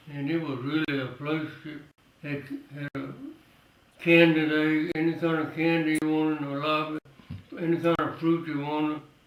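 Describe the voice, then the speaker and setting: A man with a fairly high pitch speaks at a moderate pace in a flat, monotone delivery over noticeable background noise. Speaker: World War II veteran. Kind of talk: oral history interview answer. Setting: home.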